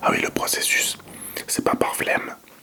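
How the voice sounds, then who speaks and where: In a relaxed tone, a man whispers at a moderate pace while noticeable background noise runs behind him. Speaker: ASMR content creator. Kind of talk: ASMR whispering video addressed to viewers. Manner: whispered, relaxed, casual.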